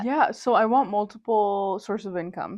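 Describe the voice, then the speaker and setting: A woman with an American accent and a plain, everyday voice, fairly slow, with ordinary pitch variation. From Indiana, USA. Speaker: university student. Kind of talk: interview answer.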